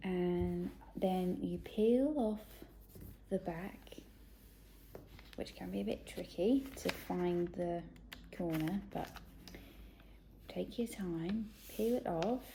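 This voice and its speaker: A woman with a British accent at a very slow pace, with long, frequent pauses. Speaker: children's ministry presenter. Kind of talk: craft tutorial for kids. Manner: friendly, encouraging.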